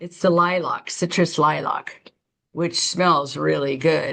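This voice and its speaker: A woman's voice with vocal fry, at a fairly slow pace with fairly even intonation. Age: 60s. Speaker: beauty consultant. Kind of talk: product demonstration. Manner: casual, chatty.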